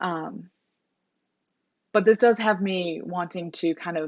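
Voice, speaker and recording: A woman speaks at a medium pitch, with ordinary pitch variation. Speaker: booktuber. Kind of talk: casual vlog talk. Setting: filming on a phone. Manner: fast; animated. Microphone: mobile phone recording.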